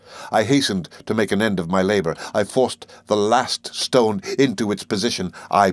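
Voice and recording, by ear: Someone reads aloud. It is in a natural voice.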